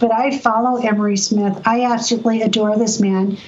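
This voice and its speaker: A woman's fairly high voice with a Californian accent, flat monotone intonation, audible room echo and noticeable background noise. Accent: General American, Californian. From US West Coast, San Diego. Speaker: energy medicine practitioner and educator. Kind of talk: storytelling interview.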